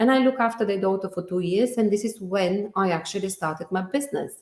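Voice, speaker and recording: With ordinary pitch variation, her medium-pitched voice marks this speaker as a woman. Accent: strong Bulgarian. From Bulgaria. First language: Bulgarian. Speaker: entrepreneur. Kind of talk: interview. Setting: video call. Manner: halting.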